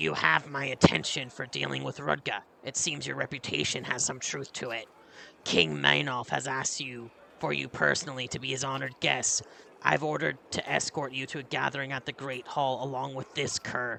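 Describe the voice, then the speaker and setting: In a put-on character voice, a man sounds raspy at a medium pitch. His intonation is lively and his pace moderate. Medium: game stream. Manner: gruff, no-nonsense.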